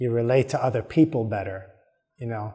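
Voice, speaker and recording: At a moderate pace, a man with a dark, mellow tone talks at medium pitch with ordinary pitch variation. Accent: American. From New York. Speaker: podcast host. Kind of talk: solo podcast monologue. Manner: casual, with many filler words.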